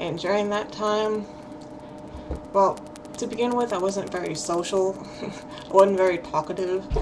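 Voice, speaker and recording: A woman's mumbling at medium pitch and a fairly slow pace, with ordinary pitch variation, long and frequent pauses, and noticeable background noise. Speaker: hard of hearing person. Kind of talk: casual talk to camera. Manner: mumbling, hesitant.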